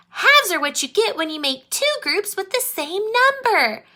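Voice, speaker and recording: Using a squeaky, put-on character voice, a woman speaks at a moderate pace in an extremely high pitch with very wide pitch swings. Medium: read story.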